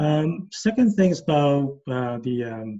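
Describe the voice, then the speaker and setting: This man's voice sits fairly high in pitch, with a dark, mellow tone, a somewhat breathy quality and ordinary pitch variation. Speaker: project management professional. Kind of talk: career talk. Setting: video call. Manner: halting, many fillers.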